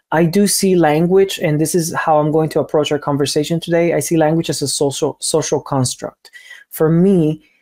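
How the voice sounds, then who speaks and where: A man with a Spanish accent speaks at a high pitch with fairly even intonation. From Cuba. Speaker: language teacher. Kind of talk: online seminar talk. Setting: online seminar. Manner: hesitant, word repetitions.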